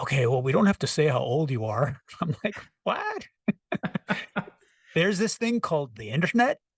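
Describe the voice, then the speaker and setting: With long, frequent pauses, a man speaks at a fairly high pitch with very wide pitch swings, in a dry, close sound with no echo. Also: moderate pace. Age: 60s. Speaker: rock singer-songwriter and producer. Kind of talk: casual interview.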